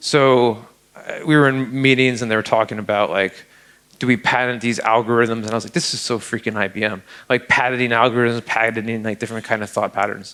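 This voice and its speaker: A man's voice has a bright, sharp tone and fairly even intonation. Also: medium pitch for a man, fairly quick pace. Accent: American. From Upstate New York. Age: 40s. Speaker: security researcher speaker. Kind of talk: conference talk. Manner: casual, halting with repetitions.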